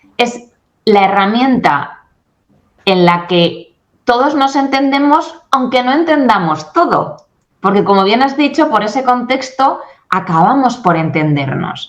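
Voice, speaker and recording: An animated tone with very wide pitch swings, very even loudness and a fairly slow pace, plus audible room echo. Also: woman, high pitch for a woman. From Spain. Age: 40s. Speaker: English communication coach and company founder. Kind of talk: interview.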